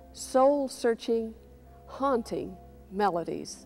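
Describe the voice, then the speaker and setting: The tone is dark and mellow. The pace is very slow. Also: woman. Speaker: television music program host. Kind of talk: presenter introduction. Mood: warm, gracious. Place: church. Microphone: lapel.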